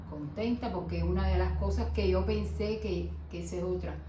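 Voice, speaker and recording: Noticeable background noise and audible room echo around a female speaker. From Cuba. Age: 60s. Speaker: nanny, immigrant interviewee. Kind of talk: casual interview.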